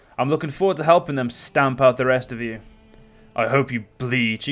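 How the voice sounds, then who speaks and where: Faint music plays in the background as a man does a growling put-on character voice at medium pitch and a moderate pace. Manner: growling, venomous.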